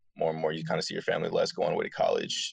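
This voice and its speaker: A man with an American accent, dry and close-sounding with no echo. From Michigan, Dearborn. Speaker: college track athlete. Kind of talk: interview.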